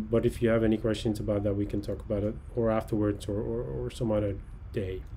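With a Dutch accent, a man speaks at a fairly quick pace in a fairly low pitch over light background noise. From Netherlands (Texel); Netherlands. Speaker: oceanographer. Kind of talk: lecture. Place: home room. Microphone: webcam.

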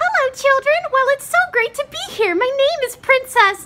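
Putting on a squeaky character voice, a woman speaks at a moderate pace in an extremely high pitch. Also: lively intonation. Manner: sweet.

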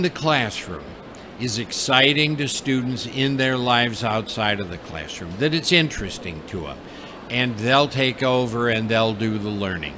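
With an American accent and a medium pitch, a man talks at a fairly slow pace in a lively, rising-and-falling way over noticeable background noise. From United States. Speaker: education consultant and teacher trainer. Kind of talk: live interview. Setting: studio at a live trade fair. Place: booth. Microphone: studio mic.

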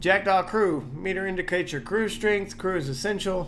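Against noticeable background noise, a man speaks at a moderate pace in a high pitch. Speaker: gaming YouTuber. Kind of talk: casual gameplay commentary. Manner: casual, profane, excitable.

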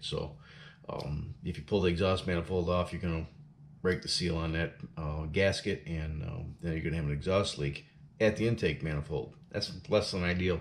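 Over light background noise, a man with a very deep, low pitch talks at a moderate pace. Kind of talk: tutorial. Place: garage. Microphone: camera far.

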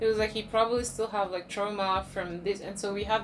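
The speaker talks at a moderate pace with faint music in the background. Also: woman. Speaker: storytime co-host. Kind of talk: casual vlog chat. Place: home room. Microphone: camera far.

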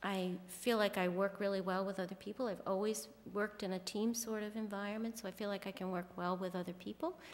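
A woman's voice with fairly even intonation and hardly any pauses. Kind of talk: interview answer. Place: hall. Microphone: podium.

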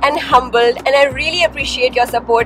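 While a woman talks, clear music can be heard in the background. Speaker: travel vlogger. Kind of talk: casual vlog chat. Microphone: phone near.

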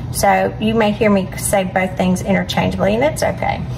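A woman talks at a fairly quick pace while music plays behind her. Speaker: home cooking host. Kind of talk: casual cooking intro. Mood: warm and cheerful. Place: kitchen. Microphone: phone near.

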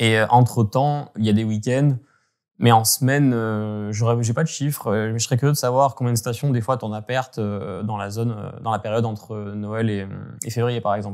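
Over a quiet background, a man talks at a moderate pace in a medium pitch with fairly even intonation. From French Alps, Hautes-Alpes (Gap); Hautes-Alpes, France. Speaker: climate researcher and former ski journalist; guest, former journalist. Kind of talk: interview. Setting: remote call. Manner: halting, many hesitations. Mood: calm, thoughtful, concerned. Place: home room.

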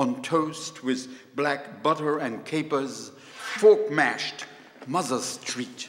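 A man is speaking. His pace is very slow. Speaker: poet performing. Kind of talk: poem performed live with music. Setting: stage with audience. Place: stage. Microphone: handheld.

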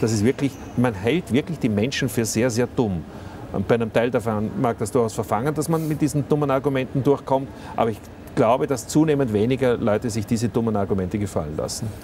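Very fast speech from a man at a medium pitch, ordinary pitch variation, light background noise. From Austria. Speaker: politician. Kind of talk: interview. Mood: critical, argumentative. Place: studio. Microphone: lapel.

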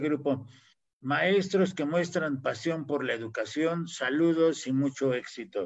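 Against a quiet background, a man talks at a moderate pace with an unremarkable speaking voice. His pitch is fairly high and his intonation fairly even. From Mexico. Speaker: panel host, university professor. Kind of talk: live online panel discussion. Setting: video call livestream. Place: home room. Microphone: video call.

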